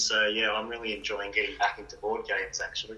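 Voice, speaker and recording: A man's voice against noticeable background noise. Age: 40s. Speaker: writer. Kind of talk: interview answers. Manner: hesitant, many fillers.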